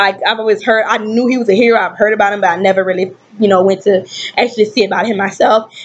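A woman talking at a very fast pace with fairly even intonation. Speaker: booktuber. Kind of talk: casual talk to camera. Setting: webcam. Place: home room. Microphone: webcam.

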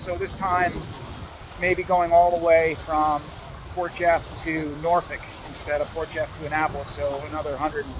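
Noticeable background noise surrounds a high-pitched man in a dry recording with no echo. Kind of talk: casual vlog chat. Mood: relaxed, content. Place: boat. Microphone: phone near.

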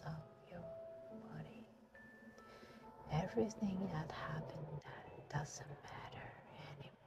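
A woman talks fairly slowly in a dry, echo-free sound while loud noise fills the background. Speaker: hypnotist. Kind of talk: guided hypnosis session. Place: car. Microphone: phone near.

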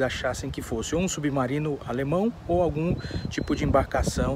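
Light background noise and a dry sound with no echo surround a man talking at a moderate pace with ordinary pitch variation. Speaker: history vlogger. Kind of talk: casual vlog chat. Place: open country. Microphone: phone near.

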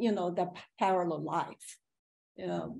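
With a Chinese accent, a woman speaks in a dark, mellow tone marked by vocal fry. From China. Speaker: painter; panelist. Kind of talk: panel discussion. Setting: video call. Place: home room. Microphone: video call.

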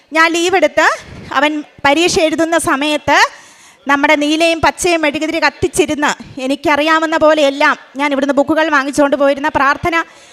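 Very even in loudness, the voice stays monotone with flat intonation, heard in a dry, close sound with no echo over noticeable background noise. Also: woman, high pitch for a woman. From Kerala, Idukki district. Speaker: school employee giving testimony. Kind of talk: testimony. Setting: church altar before congregation.

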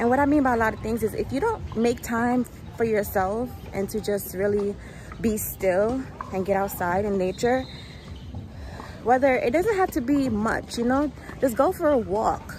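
Light background noise sits under a woman speaking at a moderate pace with long, frequent pauses, ordinary pitch variation, and dry sound with no echo. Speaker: vlogger. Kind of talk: casual vlog chat. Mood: upbeat, reflective. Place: street. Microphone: earbuds.

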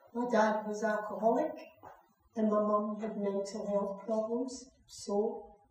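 Fairly slow speech with a Scottish accent and audible room echo. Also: woman. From Scotland. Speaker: actor playing a young mother in a drama. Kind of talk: dramatic monologue, acted performance. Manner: weary, sad, heartfelt. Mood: sombre, confessional. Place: stage. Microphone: camera far.

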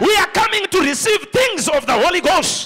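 A man speaks at a moderate pace in a raised, projected voice, his tone animated and his intonation lively, over light background noise. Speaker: preacher. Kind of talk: sermon. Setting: church with congregation. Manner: animated, rousing call-and-response preaching; emphatic, declaring prophecies and blessings. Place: church. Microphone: handheld.

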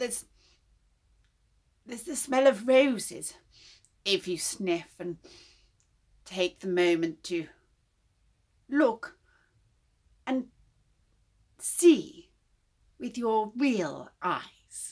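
Using a put-on character voice, a woman speaks at a very slow pace in a fairly high pitch, with long, frequent pauses. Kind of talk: improvised tarot reading. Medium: stage.

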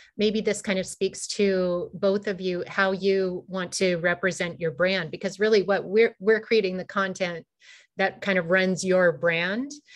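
The speech moves at a fairly slow pace with fairly even intonation. The background is quiet. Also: woman. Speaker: webinar co-host. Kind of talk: moderated panel discussion. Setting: video call from home. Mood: warm, friendly. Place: home room. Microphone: video call.

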